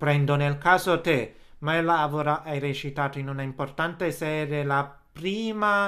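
A man's bright, sharp tone on a very clean recording with a silent background. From Naples, Italy. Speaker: podcast host. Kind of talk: interview. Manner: halting.

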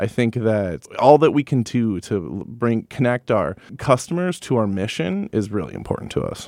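A man speaks at medium pitch and a moderate pace with lively intonation and hardly any pauses, in an American accent. It is a normal speaking voice. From Wisconsin, Madison. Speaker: thrift store retail director. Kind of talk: interview. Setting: studio.

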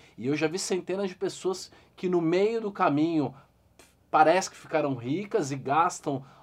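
A man speaks at a fairly slow pace in a plain, everyday voice, his intonation lively. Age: 40s. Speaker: investor and financial educator. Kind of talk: interview.

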